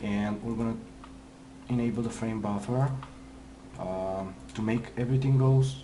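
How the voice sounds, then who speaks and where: A man with a non-native accent talks at a fairly low pitch and moderate pace, his intonation lively. Noticeable background noise and audible room echo surround him. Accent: foreign. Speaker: 3D visualization artist. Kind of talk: tutorial. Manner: halting, many fillers.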